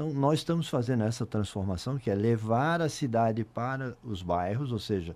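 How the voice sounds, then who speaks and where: Recorded very cleanly against a silent background, a man with an ordinary speaking voice and medium pitch talks at a moderate pace with lively intonation and hardly any pauses. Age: 60s. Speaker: mayor. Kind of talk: interview.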